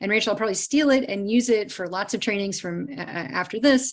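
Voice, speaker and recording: With a normal speaking voice and an American accent, a woman talks at a fairly quick pace, her medium pitch carried by lively intonation. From US Midwest, Cleveland, Ohio. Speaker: trauma care trainer. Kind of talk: live online training presentation.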